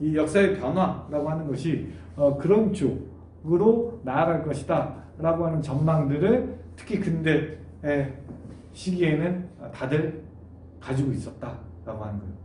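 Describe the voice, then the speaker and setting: A man's fairly high-pitched voice, with lively intonation, a fairly slow pace and audible room echo. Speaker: university lecturer. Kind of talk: online lecture. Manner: many filler sounds.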